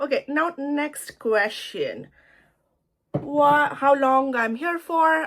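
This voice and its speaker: A high-pitched woman with an Indian accent speaks at a very slow pace with lively intonation. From India (Surat, Gujarat). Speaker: lifestyle vlogger. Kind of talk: casual get-ready-with-me vlog chat. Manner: casual, chatty with fillers.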